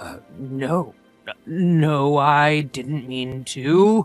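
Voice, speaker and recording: Faint music plays in the background as a man uses a put-on character voice. His pitch is fairly high, with ordinary pitch variation. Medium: read story. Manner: hesitant, meek.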